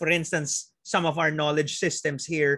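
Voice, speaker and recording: A man speaks with a Filipino accent in a bright, sharp tone. The background is quiet. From Philippines. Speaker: physician and planetary health researcher; invited lecturer. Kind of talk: webinar lecture. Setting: video call. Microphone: video call.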